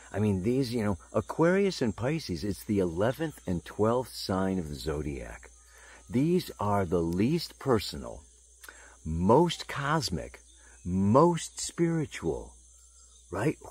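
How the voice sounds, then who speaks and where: A man talks at a very slow pace in a somewhat breathy voice with very wide pitch swings, on a very clean recording with a silent background. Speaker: astrologer. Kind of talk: video monologue. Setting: outdoors. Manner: animated; halting.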